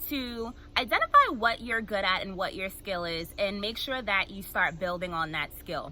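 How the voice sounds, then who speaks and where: Lively intonation carries the speech along at a moderate pace against noticeable background noise. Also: woman. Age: 20s. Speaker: motivational speaker. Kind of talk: motivational talk.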